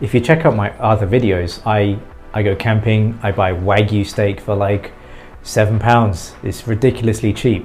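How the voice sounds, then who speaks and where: A man speaks at a moderate pace and a fairly low pitch, with fairly even intonation. Music plays in the background. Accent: English. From England. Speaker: vlogger. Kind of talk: casual vlog talk.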